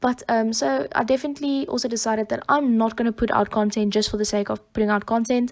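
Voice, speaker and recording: A woman with a South African accent speaks very fast with hardly any pauses. Her pitch is fairly high and her loudness very even. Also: ordinary pitch variation. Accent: Afrikaans-accented English. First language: Afrikaans. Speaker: YouTube Sims builder. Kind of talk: voiceover commentary. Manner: hesitant, many fillers.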